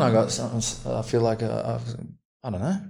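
A man with an Australian accent talks at a fairly quick pace in a medium pitch. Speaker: podcast host. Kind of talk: casual chat.

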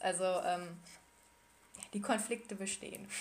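Noticeable background noise sits behind a woman of medium pitch talking at a moderate pace with fairly even intonation. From Ruhr area, Germany. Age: 20s. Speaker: medical student. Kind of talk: personal testimony in interview. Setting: Skype call.

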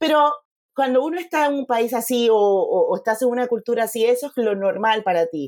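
A woman with a high voice speaks at a fairly quick pace. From Panama. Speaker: photographer and mentor. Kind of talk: interview conversation.

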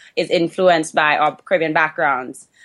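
Against a quiet background, a woman with a fairly low voice speaks at a fairly quick pace with fairly even intonation. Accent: Trinidadian. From Trinidad and Tobago. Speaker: podcast guest, dancer and fitness instructor. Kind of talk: casual conversational.

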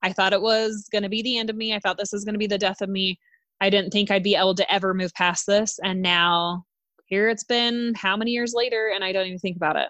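A woman of medium pitch talks at a very fast pace in a bright, sharp tone with fairly even intonation. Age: 30s. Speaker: podcast co-host. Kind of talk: casual chat.

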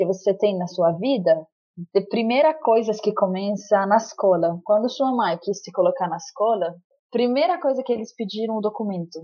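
With an Arabic accent, a woman talks at a moderate pace. Her pitch is fairly high and her intonation lively. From Lebanon. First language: Arabic (speaking Portuguese). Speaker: stateless rights activist. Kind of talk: testimony. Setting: remote call.

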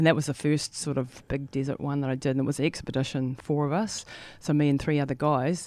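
Very fast and monotone, with flat intonation, a woman speaks at a very deep, low pitch in a New Zealand accent. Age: 50s. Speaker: ultramarathon runner. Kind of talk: interview. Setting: studio.

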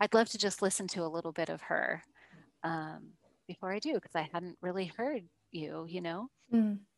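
Recorded dry and close with no echo against a quiet background, a woman with a fairly low pitch, vocal fry and ordinary pitch variation speaks at a moderate pace, taking long, frequent pauses. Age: 40s. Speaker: coach working with women on visibility. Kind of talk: casual chat.

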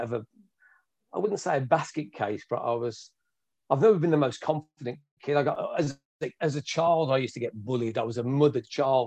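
Fairly quick and fairly high-pitched, a man talks in a Birmingham accent against a quiet background. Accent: Birmingham English (Brummie). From Birmingham, England. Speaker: martial arts instructor. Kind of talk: interview.

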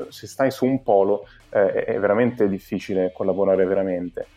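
A man talks at a moderate speed with music behind him. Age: 20s. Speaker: entrepreneur and event organizer. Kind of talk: podcast interview. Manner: halting, many filler sounds.

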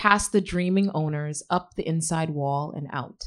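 With an American accent and an unremarkable speaking voice, a woman talks at a moderate pace and fairly low pitch, her pitch varying in an ordinary way, on a very clean recording with a silent background. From Queens, New York, and Ghana. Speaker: novelist. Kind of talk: reading aloud. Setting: stage with audience.

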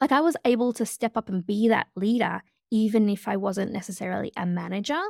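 With an Australian accent, a woman speaks fairly quickly at fairly high pitch with ordinary pitch variation, in a dry, close sound with no echo. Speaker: change leadership consultant. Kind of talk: interview conversation. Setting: video call.

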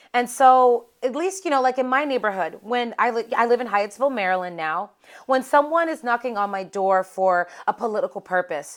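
A woman talks at a fairly quick pace with an American accent, an ordinary speaking voice and ordinary pitch variation. The recording is very clean, with a silent background. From Pittsburgh, Pennsylvania. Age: 30s. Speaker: political strategist. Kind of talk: casual interview.

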